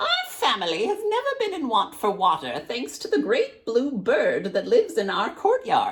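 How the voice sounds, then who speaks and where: A gravelly, extremely high-pitched put-on character voice runs on with hardly any pauses. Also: moderate pace. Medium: read story.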